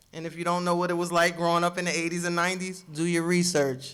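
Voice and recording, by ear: A woman's fairly low voice with an American accent, at a fast pace, fairly bright in tone, with little pitch movement. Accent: New Jersey and New York urban.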